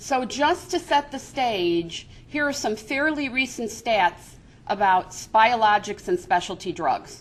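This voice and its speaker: With an American accent, a woman at a fairly high pitch speaks at a very slow pace with very wide pitch swings against a quiet background. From Chicago, US Midwest. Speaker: business coalition executive. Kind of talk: seminar presentation.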